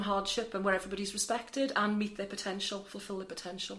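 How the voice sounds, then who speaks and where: There is noticeable background noise. A woman speaks at a medium pitch in a Welsh accent. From Wales. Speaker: charity centre manager. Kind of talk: interview.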